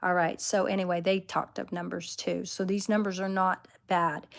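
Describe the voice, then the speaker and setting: Moderate pace on a very clean recording with a silent background. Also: woman. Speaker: tarot reader. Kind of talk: livestream teaching talk. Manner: halting.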